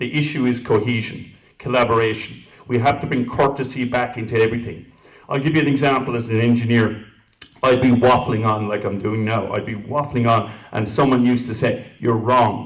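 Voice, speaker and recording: In an Irish accent, a man speaks at a fairly quick pace and medium pitch with a monotone, flat intonation, an audible room echo around him. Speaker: council candidate. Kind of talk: candidate forum answers.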